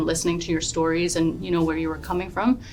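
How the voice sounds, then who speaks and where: A woman with a fairly low pitch, music in the background and audible room echo. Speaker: entrepreneur and author, interviewee. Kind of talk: casual interview. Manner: loud and bold; hesitant filler-heavy speech.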